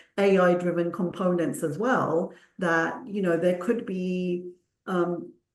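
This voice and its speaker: The speaker is a woman. Her voice sits at medium pitch. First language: Punjabi. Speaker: clinical research consultant. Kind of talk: panel discussion.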